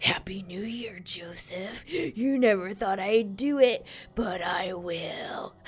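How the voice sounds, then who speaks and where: Over light background noise, a female-sounding put-on character voice whispers in a raspy way at a fairly slow pace. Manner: angry, threatening.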